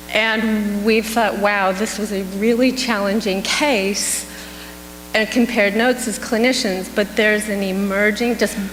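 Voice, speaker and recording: Against noticeable background noise and audible room echo, a woman speaks at a fairly high pitch and a fairly slow pace with fairly even intonation. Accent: American. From California. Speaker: psychedelics clinical researcher. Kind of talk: conference Q&A.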